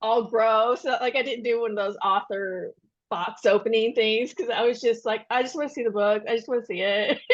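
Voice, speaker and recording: This woman has a Kentucky accent and a fairly high pitch. She talks at a fairly quick pace with ordinary pitch variation. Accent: Kentucky accent, still noticeable. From Western Kentucky. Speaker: debut novelist. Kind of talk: podcast interview. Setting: podcast recording. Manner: casual, chatty.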